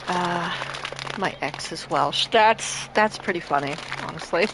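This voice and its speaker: Amid noticeable background noise, a woman with a fairly low pitch speaks at a very slow pace. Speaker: video game streamer. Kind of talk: live stream gameplay with reading game text aloud. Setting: live stream.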